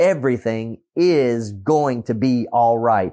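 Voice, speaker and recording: A man's dark, mellow tone stands out over a quiet background. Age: 50s. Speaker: preacher. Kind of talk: sermon. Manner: halting.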